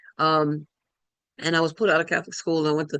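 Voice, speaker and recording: A woman with a very deep, low pitch speaks in a dry, close sound with no echo. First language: Spanish. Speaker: spiritual speaker. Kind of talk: personal testimony talk. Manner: halting, many fillers.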